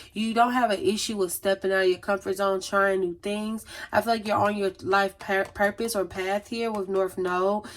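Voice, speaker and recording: Her pitch sits at a medium level for a woman. She talks at a fairly quick pace with fairly even intonation. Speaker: tarot reader. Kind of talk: tarot reading monologue. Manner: fast.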